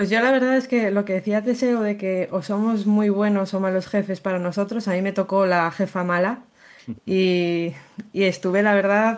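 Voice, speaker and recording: Here a woman with an unremarkable speaking voice talks at a moderate pace, her medium pitch and fairly even intonation matched by very even loudness. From León, Spain. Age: 20s. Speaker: photographer. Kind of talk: interview.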